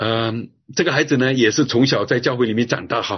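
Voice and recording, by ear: A man talks at a fairly quick pace with a medium pitch. His voice carries a slightly husky edge and ordinary pitch variation.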